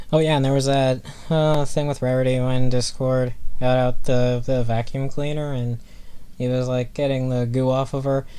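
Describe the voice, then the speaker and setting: Medium in pitch, a man's voice holds a monotone, flat intonation at a moderate pace. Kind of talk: casual spoken review of a cartoon episode. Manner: flat, seemingly emotionless; hesitant, many fillers.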